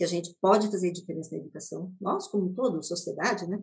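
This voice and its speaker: Somewhat breathy, a woman speaks at a fairly low pitch with fairly even intonation. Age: 50s. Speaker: education technology executive, former math teacher. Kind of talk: interview.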